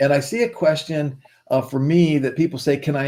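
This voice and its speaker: This man has a plain, everyday voice with ordinary pitch variation. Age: 60s. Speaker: investment and digital marketing partner. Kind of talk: sales pitch. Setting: livestream.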